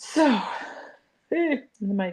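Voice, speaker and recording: A woman with an American accent speaks with lively intonation. Her voice is somewhat breathy. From South Dakota, US. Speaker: crochet content creator. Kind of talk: casual livestream chat and crochet tutorial. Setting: live stream. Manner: slow.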